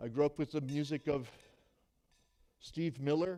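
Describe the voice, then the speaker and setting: A man's fairly high voice with a dark, mellow tone. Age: 60s. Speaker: pastor. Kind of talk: sermon.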